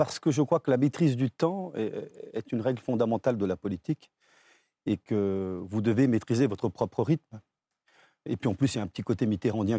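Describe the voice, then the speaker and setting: A man speaks at a fairly quick pace and medium pitch, his intonation lively and his tone dark and mellow. The recording is very clean with a silent background and a dry, close sound with no echo. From Brazil, then Paris suburbs from age 10. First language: Portuguese (speaking French). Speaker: business owner and former politician. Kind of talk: televised political debate.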